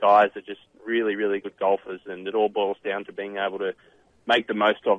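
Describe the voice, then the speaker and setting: This man has an Australian accent and a fairly low voice. His intonation stays flat and monotone throughout. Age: 30s. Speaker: professional golfer and author. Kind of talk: radio interview. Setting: phone call.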